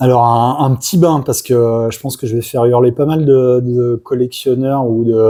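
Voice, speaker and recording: Monotone, flat intonation marks a man's medium-pitched delivery at a moderate pace. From France, Loire (Saint-Étienne, Forez mountains). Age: 40s. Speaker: illustrator. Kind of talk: interview. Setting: convention. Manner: hesitant, many fillers (euh).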